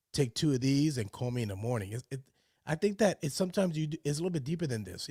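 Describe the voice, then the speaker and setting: A man's very fast, somewhat breathy delivery with a dark, mellow tone and lively intonation, dry and close with no echo, on a very clean recording with a silent background. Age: 40s. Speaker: live stream host. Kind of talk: casual monologue on live stream. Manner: halting, with fillers and repetitions.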